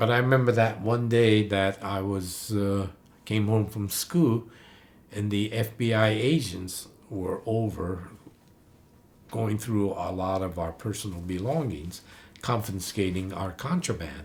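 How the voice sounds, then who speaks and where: A somewhat breathy, fairly low-pitched male voice with ordinary pitch variation at a fairly slow pace. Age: 80s+. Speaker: Japanese American wartime camp survivor. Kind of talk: oral history interview. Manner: halting, with fillers and restarts.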